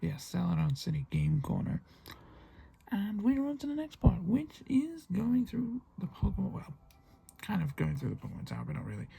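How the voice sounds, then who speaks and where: Someone speaks quietly at a moderate pace with a British accent. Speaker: gaming youtuber. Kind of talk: let's play commentary.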